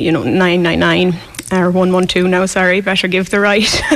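A woman speaks at a very slow pace in an Irish accent, her pitch medium. Noticeable background noise is present. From west of Ireland. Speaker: hospital worker. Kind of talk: storytelling in a radio interview. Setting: live outside broadcast with local audience.

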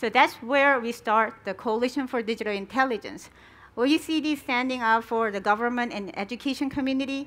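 A woman speaking at a fairly quick pace with a Korean accent and a high pitch. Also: ordinary pitch variation. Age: 40s. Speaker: education researcher and founder. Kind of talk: conference presentation; answering audience questions.

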